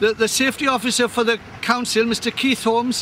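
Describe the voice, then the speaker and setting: Over noticeable background noise, a man in a raised, projected voice speaks at a very fast pace with an extremely high pitch and monotone, flat intonation. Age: 60s. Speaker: farmer. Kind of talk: walking video commentary. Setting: outdoors. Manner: halting with repetitions.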